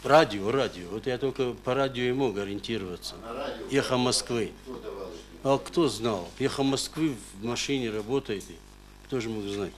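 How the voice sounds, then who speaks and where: Against light background noise, a man talks at a medium pitch and fairly slow pace with ordinary pitch variation. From North Ossetia, Russia. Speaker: court witness, father of a hostage; witness, father of a hostage. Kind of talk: court testimony. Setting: courtroom. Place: hall. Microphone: camera far.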